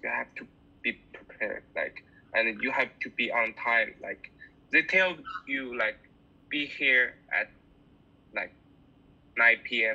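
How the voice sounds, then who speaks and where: Speaking with a Chinese accent, a man talks at a very slow pace. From China. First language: Mandarin Chinese. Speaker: bassist; guest. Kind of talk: interview. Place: home room. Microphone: video call.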